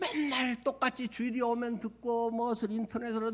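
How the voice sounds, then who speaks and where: A man's voice is extremely high-pitched. He talks at a fairly slow pace. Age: 60s. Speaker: pastor. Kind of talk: sermon.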